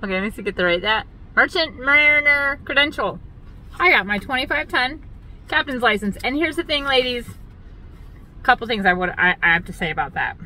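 A woman's raised, projected voice comes at a fairly quick pace in a dry sound with no echo. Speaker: boat captain vlogger. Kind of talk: casual vlog chat. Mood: chatty, wry, self-mocking. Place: car. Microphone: phone near.

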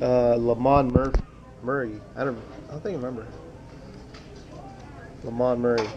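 Here a man talks at a medium pitch with fairly even intonation. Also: moderate pace.

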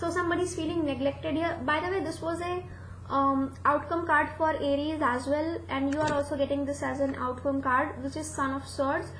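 A woman's high-pitched voice at a fairly quick pace, with fairly even intonation, audible room echo and light background noise. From India. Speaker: tarot reader. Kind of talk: tarot reading monologue. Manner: halting, many fillers. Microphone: webcam.

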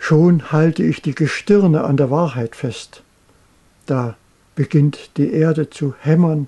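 A man speaks with a fairly high pitch and a dark, mellow tone, his intonation fairly even and his voice somewhat breathy. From East Germany. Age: 80s+. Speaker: painter. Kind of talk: poetry reading.

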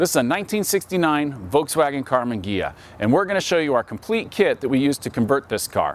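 Dry, echo-free sound from a man. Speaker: presenter. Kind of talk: product walkthrough presentation. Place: street.

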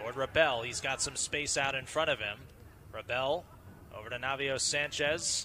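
A man speaks at a moderate pace with a fairly high pitch and fairly even intonation. Long pauses come often, and background noise is noticeable. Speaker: play-by-play commentator. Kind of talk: live sports commentary, play-by-play over game highlights.

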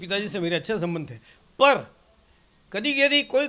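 Raising and projecting his voice, a man speaks at a moderate pace with a high pitch, a bright, sharp tone and lively intonation. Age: 70s. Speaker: senior politician. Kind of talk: interview. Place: home room. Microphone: handheld.

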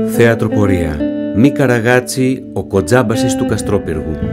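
Over loud background music, the speech comes at a moderate pace. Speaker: trailer voice-over announcer. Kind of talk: theatre trailer announcement.

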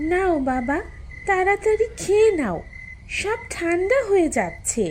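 A female-sounding, cartoonish character voice at an extremely high pitch and fairly slow pace, over clear background noise. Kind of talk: cartoon voice acting.

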